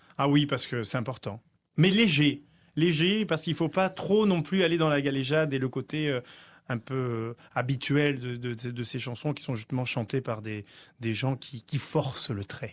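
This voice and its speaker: A man with a plain, everyday voice talks at a moderate pace, his fairly high pitch carrying lively intonation. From Africa. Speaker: opera tenor. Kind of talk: radio interview.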